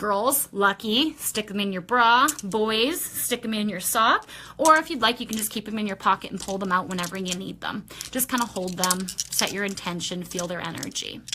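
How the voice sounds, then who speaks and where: Her pitch medium with ordinary variation, a woman speaks at a moderate pace over noticeable background noise. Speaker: shop owner presenting products in a weekly video. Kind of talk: casual product walkthrough livestream.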